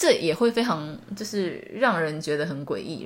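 A woman with a Taiwanese accent talks at a moderate pace. Her fairly low pitch carries lively intonation. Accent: Taiwanese Mandarin. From Taiwan, small town. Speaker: podcast host, English teacher. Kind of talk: solo podcast monologue. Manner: casual, frequent laughs and fillers.

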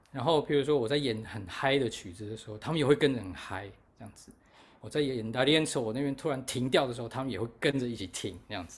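A man of medium pitch, somewhat breathy, at a very fast pace, with ordinary pitch variation and big swings in loudness. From Taiwan. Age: 40s. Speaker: musician and festival organizer. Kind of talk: casual interview chat. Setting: remote call from overseas.

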